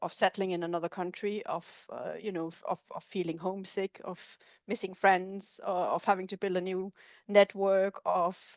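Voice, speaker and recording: A woman with a Danish accent speaks at a medium pitch and a moderate pace, in a monotone, flat way with big swings in loudness. The sound is dry and close with no echo, and the background is quiet. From Denmark. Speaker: researcher. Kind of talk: webinar discussion.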